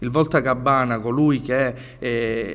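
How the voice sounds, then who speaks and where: The speaker is a man. His intonation is fairly even. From Sicily. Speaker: politician; candidate. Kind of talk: interview. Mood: earnest, persuasive. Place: studio. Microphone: handheld.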